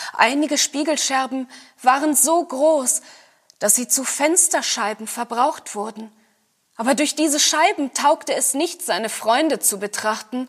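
A high-pitched woman's voice, fairly slow, with lively intonation. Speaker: actor reading fairy tale aloud. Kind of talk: scripted storytelling, fairy-tale reading.

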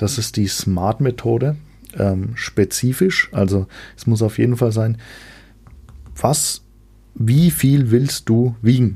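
At a very slow pace with long, frequent pauses, a man speaks in a dark, mellow tone. His voice is medium in pitch and somewhat breathy. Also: ordinary pitch variation. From Franconia, Germany. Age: 20s. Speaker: fitness podcast host. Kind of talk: solo podcast monologue. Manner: casual with frequent filler sounds.

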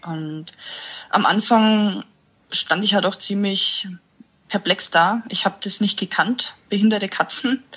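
A woman speaks at a moderate pace with a somewhat breathy voice. Her pitch is medium and her intonation fairly even. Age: 30s. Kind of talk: interview.

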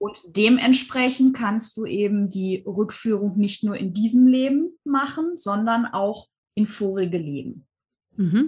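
At a very slow pace, a woman talks with a fairly high pitch. Her intonation is lively and her voice somewhat breathy. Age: 40s. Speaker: hypnosis and past-life regression coach. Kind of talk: interview.

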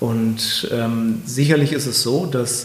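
Audible room echo and noticeable background noise around speech with fairly even intonation. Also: man. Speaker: company executive. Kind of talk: interview. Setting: office in a castle.

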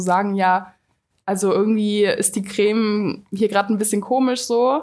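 Here a woman is speaking. Her voice sits at a medium pitch. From Cologne, Germany. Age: 20s. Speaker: fashion micro-influencer. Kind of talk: casual interview.

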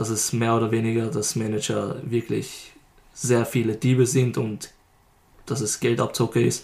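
The speaker has noticeable vocal fry. The pace is fairly slow. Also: man, medium pitch for a man, fairly even intonation. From Lower Austria. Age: 20s. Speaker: rapper. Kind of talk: casual interview.

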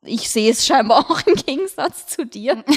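Recorded very cleanly against a silent background, with a dry, close sound and no echo, a woman speaks at a moderate pace in a Viennese accent. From Austria, Vienna. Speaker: lifestyle blogger, podcast co-host. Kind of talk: casual chat.

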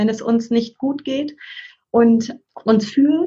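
Ordinary pitch variation marks a woman's somewhat breathy voice. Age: 40s. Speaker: parent and family counselor. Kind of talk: casual interview chat.

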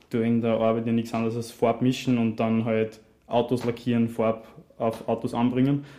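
This man's pitch sits at medium for a man. He talks at a moderate pace in a monotone, flat intonation. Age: 20s. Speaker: trainee car painter and artist. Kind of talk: casual interview.

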